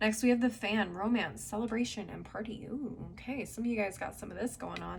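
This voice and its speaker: Vocal fry at a moderate pace. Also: woman. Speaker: tarot reader. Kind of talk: tarot reading. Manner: casual, conversational.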